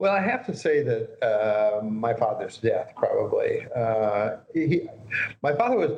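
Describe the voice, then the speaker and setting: With a Midwestern American accent, a man speaks at a moderate pace. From US Midwest, northeast Nebraska. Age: 70s. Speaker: psychiatrist and author. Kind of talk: interview. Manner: halting, many fillers.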